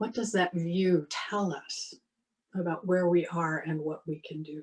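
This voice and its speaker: A woman talks at a fairly slow pace in a plain, everyday voice. Her pitch is fairly low and her intonation fairly even. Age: 60s. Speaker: minister. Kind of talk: sermon.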